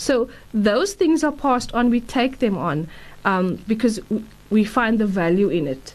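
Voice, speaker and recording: A woman with a fairly high pitch and vocal fry speaks at a fairly slow pace, her pitch swinging very widely. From South Africa, Durban. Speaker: psychological counselor. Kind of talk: casual interview. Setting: studio.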